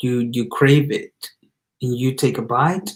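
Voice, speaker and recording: In a Spanish accent, a man talks at a fairly slow pace and a medium pitch. His voice is somewhat breathy, with ordinary pitch variation. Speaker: motivational speaker. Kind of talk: motivational talk. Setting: live stream. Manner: casual, halting with repetitions.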